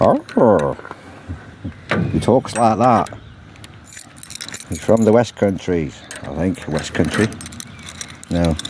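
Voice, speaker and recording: Fairly low in pitch, a man speaks at a very slow pace with lively intonation. Long, frequent pauses fill his speech, and background noise is noticeable. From Wales. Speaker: gardener vlogger. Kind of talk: casual video walkthrough. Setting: outdoors in a garden. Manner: chatty, rambling.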